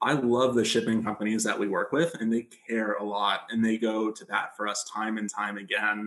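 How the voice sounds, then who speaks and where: With an American accent, a man speaks in an unremarkable speaking voice at a fairly low pitch, his intonation fairly even and hardly any pauses between words. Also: moderate pace. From United States. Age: 20s. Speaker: aid organization co-founder. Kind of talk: casual interview. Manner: frequent fillers.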